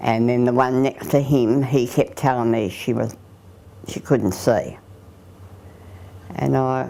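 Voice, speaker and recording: A woman in an Australian accent at a fairly slow pace. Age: 80s+. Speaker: aging mother and carer. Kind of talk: interview testimony.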